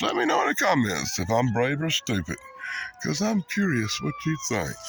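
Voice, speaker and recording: Moderately paced speech from a man in an American accent, with noticeable background noise. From South Carolina, US South. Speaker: YouTuber. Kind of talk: casual vlog. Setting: outdoors.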